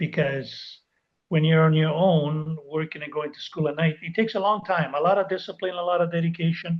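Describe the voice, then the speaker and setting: A man's high-pitched voice, fairly even in intonation, at a fairly quick pace. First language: not English. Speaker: life coach. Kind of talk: interview.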